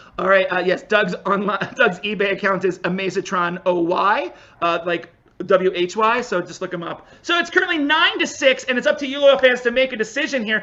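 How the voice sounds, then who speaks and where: Noticeable background noise sits under an animated voice with an American accent moving at a fairly quick pace. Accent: slight Pennsylvania accent on certain words. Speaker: improv comedy referee. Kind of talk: live improv comedy show hosting. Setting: virtual live stream over video call.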